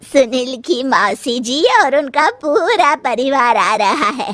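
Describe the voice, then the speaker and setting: A woman puts on a cartoonish character voice, pitched high, with lively intonation. She speaks at a fairly slow pace. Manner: authoritative.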